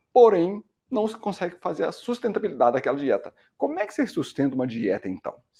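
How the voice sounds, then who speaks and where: The voice belongs to a man with a dark, mellow tone. His pitch swings very widely. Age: 50s. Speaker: medical doctor. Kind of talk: educational talk. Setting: screen-shared video presentation.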